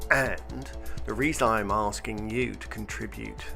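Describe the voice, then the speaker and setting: A man's voice over music in the background. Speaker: baker. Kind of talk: amateur crowdfunding pitch narration. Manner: casual, hesitant.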